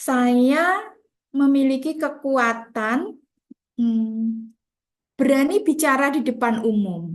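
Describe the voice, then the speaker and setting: At a very slow pace with long, frequent pauses, a woman speaks at a high pitch with lively intonation. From Central Java, Indonesia (Grobogan). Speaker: teacher. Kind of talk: lecture. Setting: video call.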